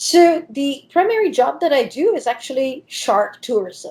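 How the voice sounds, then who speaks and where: Speaking very slowly in an Italian accent, a woman uses lively intonation. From Italy. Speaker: diving professional and shark expert. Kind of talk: interview.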